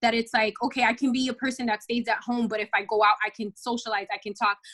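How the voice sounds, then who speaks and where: Recorded dry and close with no echo, a woman with an American accent speaks fairly quickly at a fairly high pitch. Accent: slight Spanish and urban LA inflection. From Los Angeles, California, Dominican family. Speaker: model and podcaster. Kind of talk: podcast interview. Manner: fast; animated.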